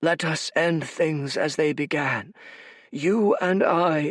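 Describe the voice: A man puts on a raspy, high-pitched character voice and speaks very slowly, on a very clean recording with a silent background.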